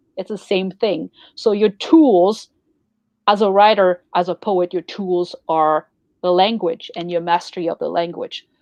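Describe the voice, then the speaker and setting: In a quiet background with a dry, close sound and no echo, a woman with a French accent speaks at medium pitch and a moderate pace, her pitch varying in an ordinary way. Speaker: poetry journal co-founder and show host. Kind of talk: casual chat.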